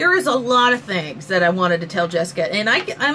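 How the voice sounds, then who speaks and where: With very wide pitch swings and an animated tone, a woman speaks at a moderate pace over noticeable background noise. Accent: Southern US. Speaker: vlogger. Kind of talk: rant vlog.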